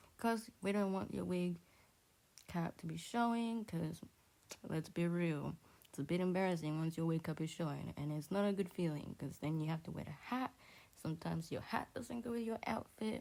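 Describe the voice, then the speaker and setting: The speaker has a non-native accent and talks at a moderate pace. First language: not English. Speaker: beauty vlogger. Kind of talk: tutorial. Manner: casual, chatty.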